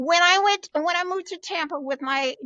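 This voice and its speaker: The speaker is a woman. Her intonation is lively. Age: 70s. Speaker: retirement coach. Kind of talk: interview. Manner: energetic.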